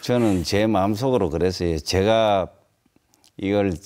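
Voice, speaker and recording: The pace is very slow. This man's fairly low pitch varies in an ordinary way. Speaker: guest. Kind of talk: interview answer. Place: studio.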